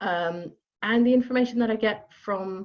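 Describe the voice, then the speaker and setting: Her pitch moves in an ordinary way. The woman keeps a moderate pace. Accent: Dutch. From Netherlands, near Amsterdam. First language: Dutch. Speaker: job coach. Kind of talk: online workshop. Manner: hesitant, many fillers.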